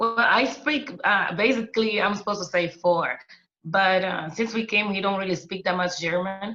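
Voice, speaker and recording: Speaking at a moderate pace, a woman uses a medium pitch with ordinary variation. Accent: non-native. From Angola. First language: Portuguese. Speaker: interview guest. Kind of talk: casual interview. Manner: halting, frequent fillers.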